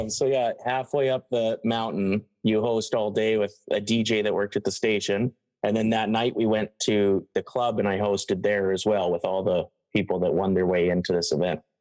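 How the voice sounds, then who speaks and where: Against a quiet background, the voice moves at a moderate pace with fairly even intonation and an Albertan accent. The sound is dry and close with no echo, and the loudness stays very even. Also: man, fairly low pitch for a man. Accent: Alberta Canadian. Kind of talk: casual, recounting a story.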